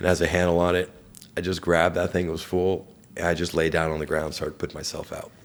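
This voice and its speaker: A man with a very deep, low voice talks very fast in a flat monotone. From Persian family background. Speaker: entrepreneur, burn survivor. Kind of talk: interview, personal story. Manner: occasional mumbling, words hard to get out.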